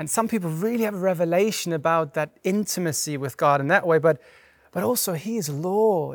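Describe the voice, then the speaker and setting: A man's high-pitched voice at a fairly quick pace, with ordinary pitch variation, on a very clean recording with a silent background. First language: not English. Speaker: pastor. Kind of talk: sermon. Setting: church. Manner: conversational.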